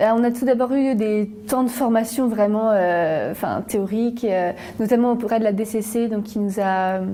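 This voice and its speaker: Speaking at a fairly slow pace, a woman has a fairly high pitch and a dark, mellow tone. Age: 20s. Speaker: student volunteer. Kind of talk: interview testimony. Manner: hesitant, many fillers.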